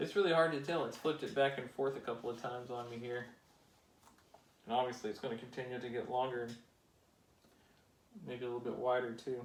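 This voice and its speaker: In a room with audible echo, a man of medium pitch talks very fast with fairly even intonation, broken by long, frequent pauses. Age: adult. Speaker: toy building hobbyist youtuber. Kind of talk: casual build tutorial.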